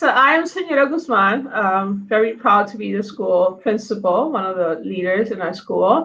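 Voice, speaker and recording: Spoken with a Spanish accent, the speech runs on with hardly any pauses. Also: woman, fairly high pitch for a woman, lively intonation, moderate pace. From Puerto Rico. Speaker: school principal. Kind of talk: meeting introduction.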